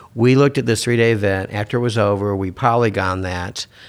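This man has a plain, everyday voice at a fairly low pitch. His intonation is fairly even and his pace moderate. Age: 50s. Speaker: ad tech executive. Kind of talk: casual chat. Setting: studio.

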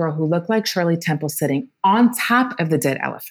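A woman with an American accent has a fairly low pitch and lively intonation. Hers is an unremarkable speaking voice. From US, Washington, D.C. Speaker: writer. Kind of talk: podcast interview.

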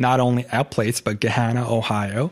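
In an Arabic accent, a man talks at a medium pitch with fairly even intonation. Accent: Arabic-tinged English. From Saudi Arabia (Jeddah). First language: Arabic (bilingual with English). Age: 20s. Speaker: architect. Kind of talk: casual interview chat.

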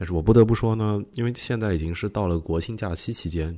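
At a fairly quick pace, the speaker delivers words in a dark, mellow tone. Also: man. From outside Beijing, China. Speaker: podcast host. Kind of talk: episode introduction monologue.

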